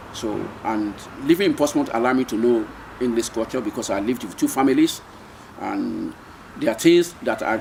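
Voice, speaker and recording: Speaking at a fairly quick pace with long, frequent pauses, a man with a Nigerian accent is heard over noticeable background noise. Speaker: retired seafarer, marine engineer. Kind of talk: oral history interview answer.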